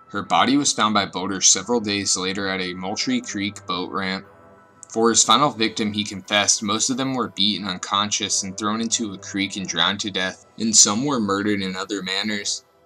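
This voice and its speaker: Over music in the background, a man talks at a fairly low pitch. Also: fairly even intonation, fairly quick pace. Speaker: true crime narrator. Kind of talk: scripted narration. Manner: fast.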